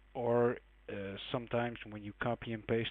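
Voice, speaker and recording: A man with a non-native accent at a fairly slow pace. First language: not English. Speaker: game modding tutorial maker. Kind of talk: tutorial. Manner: casual, hesitant with fillers.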